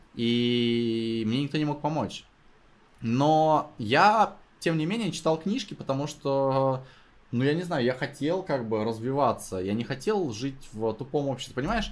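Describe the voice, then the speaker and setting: Fairly high-pitched with lively intonation, a man speaks at a fairly slow pace. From Russia, Novosibirsk. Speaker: sales company founder. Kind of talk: casual chat. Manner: animated.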